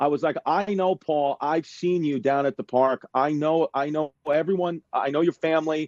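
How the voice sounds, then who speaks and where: In a New York accent, a man talks in a fairly high pitch with an animated tone and hardly any pauses. His loudness stays very even, and the sound is dry and close with no echo. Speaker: stand-up comedian. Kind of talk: casual interview chat. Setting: video call from home. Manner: animated, fast. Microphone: smudgy iPhone.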